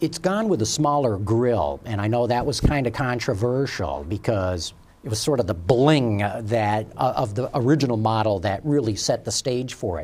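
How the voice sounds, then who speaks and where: A man's normal speaking voice, medium-pitched, with lively intonation at a moderate pace. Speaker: automotive TV show host. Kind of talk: interview. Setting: studio.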